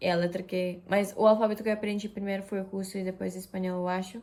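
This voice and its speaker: This woman's voice sits at a medium pitch. Her pace is moderate. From Japan. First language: Japanese, Russian and Spanish (speaking Portuguese). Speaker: vlogger. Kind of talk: casual vlog talk. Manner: hesitant, many fillers.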